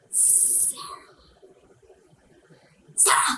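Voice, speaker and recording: A put-on character voice. The pitch sits extremely high. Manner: creepy.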